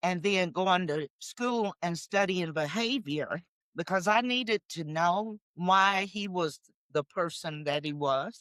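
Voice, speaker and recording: A woman speaks very slowly in a fairly low voice with ordinary pitch variation. The recording is very clean, with a silent background and a dry, close sound with no echo. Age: 60s. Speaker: podcast co-host. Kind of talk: casual chat.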